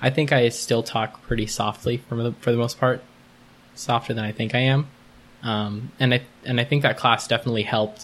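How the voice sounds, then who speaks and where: This is a man with an ordinary speaking voice at a medium pitch. His intonation is fairly even. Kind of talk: casual interview.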